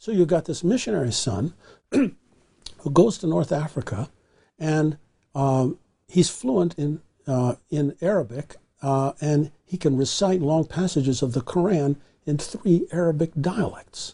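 A man's fairly high voice with a dark, mellow tone at a fairly slow pace. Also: lively intonation. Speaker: historian. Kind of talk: long-form interview.

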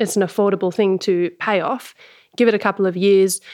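A woman with an Australian accent on a very clean recording, background silent. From Sydney, Australia. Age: 30s. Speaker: organic garlic farmer. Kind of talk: interview, casual conversation.

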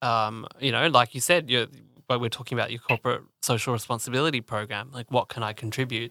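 A man with an Australian accent at medium pitch, very fast and fairly even in intonation, bright and sharp in tone, in a dry, close, very clean recording with no echo and a silent background. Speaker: podcast co-host. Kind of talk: interview.

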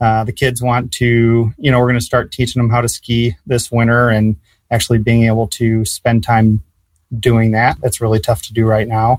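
The recording is very clean with a silent background and a dry, close sound with no echo. A man talks at a moderate pace and medium pitch with fairly even intonation. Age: 30s. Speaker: real estate investor and student. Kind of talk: interview. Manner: halting.

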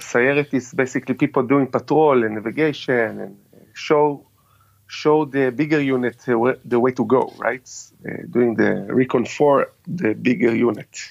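With an Israeli accent, a man speaks at medium pitch and a fairly slow pace, his intonation fairly even. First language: Hebrew. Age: 40s. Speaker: military veteran and tactical trainer. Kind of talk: interview. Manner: halting.

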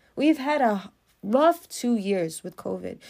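Animated tone and lively intonation on a very clean recording with a silent background. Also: woman. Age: 30s. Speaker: podcast host. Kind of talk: motivational monologue.

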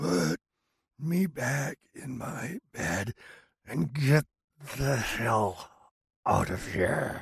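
Using a put-on character voice, a man growls at a very slow pace at a medium pitch with very wide pitch swings and long, frequent pauses, the sound dry and close with no echo. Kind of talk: horror narration. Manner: screaming pleas, then snarling abuse.

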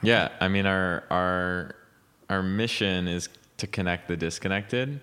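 A bright, sharp voice at a fairly slow pace, with ordinary pitch variation and a Montreal accent. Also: man. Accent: Montreal English, Canadian. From Montreal, Quebec, Canada. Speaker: tech startup founder. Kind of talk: interview. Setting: at his home.

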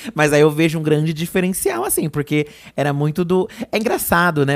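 This man's voice sits fairly high in pitch. The recording is very clean, with a silent background. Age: 30s. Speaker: podcast co-host. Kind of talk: casual chat.

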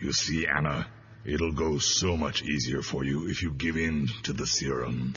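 Growling in a put-on character voice, a man speaks at a moderate pace with very deep, low pitch over light background noise. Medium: audio drama.

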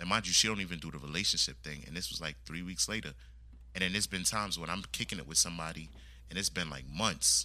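Speaking very fast, a man with a very deep, low pitch and vocal fry has a bright, sharp tone on a very clean recording with a silent background. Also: lively intonation. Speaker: podcaster guest. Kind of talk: casual chat.

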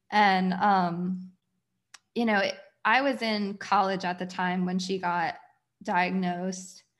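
A woman with an American accent speaks at a very slow pace against a quiet background. She leaves long, frequent pauses. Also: medium pitch for a woman, fairly even intonation. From Pennsylvania. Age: 30s. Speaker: community founder. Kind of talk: personal testimony.

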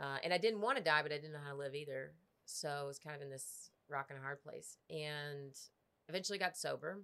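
A woman with an American accent speaks in a very deep, low pitch, her tone bright and sharp. Her pitch varies in an ordinary way while her loudness swings widely. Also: fairly quick pace. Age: 30s. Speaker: podcast co-host, recovering addict. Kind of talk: casual chat. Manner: animated.

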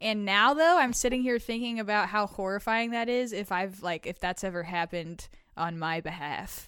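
An unremarkable speaking voice, this woman's medium-pitched speech has lively intonation and a moderate pace, in a very clean recording with a silent background. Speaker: co-host. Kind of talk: casual chat, reading listener confessions.

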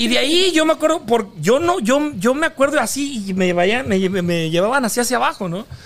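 With very wide pitch swings at an extremely high pitch, a man speaks at a moderate pace with hardly any pauses, over noticeable background noise. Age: 40s. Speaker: podcast host. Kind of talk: reading aloud news; casual chat. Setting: studio.

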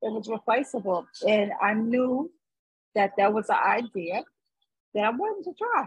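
A somewhat breathy woman's voice, fairly high-pitched with ordinary pitch variation, at a moderate pace with long, frequent pauses, in a dry, close sound with no echo. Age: 50s. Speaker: podcast co-host. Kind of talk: casual chat. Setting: outdoors.

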